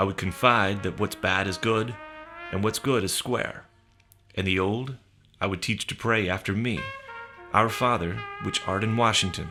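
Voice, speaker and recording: Over music in the background, the speech goes at a moderate pace with ordinary pitch variation and long, frequent pauses. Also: man, fairly low pitch for a man. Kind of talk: spoken word reading of a radio essay. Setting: studio.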